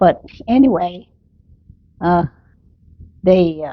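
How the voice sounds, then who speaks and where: This woman's voice sits at a medium pitch and shows ordinary pitch variation. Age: 90s. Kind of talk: family memories interview.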